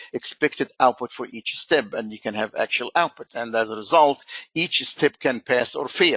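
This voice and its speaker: A man talks at a moderate pace, and the sound is dry and close with no echo. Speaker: software webinar presenter. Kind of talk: webinar product demo.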